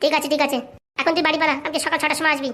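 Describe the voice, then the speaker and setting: A cartoonish woman's character voice, squeaky and high-pitched, very fast and flat in a monotone. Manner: smug, wheedling.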